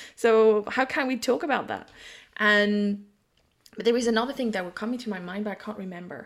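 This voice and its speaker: A woman with a French accent speaks at a fairly quick pace in a fairly high voice, with ordinary pitch variation and big swings in loudness, on a very clean recording with a silent background. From France. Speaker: psychic and intuitive business mentor. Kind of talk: casual chat.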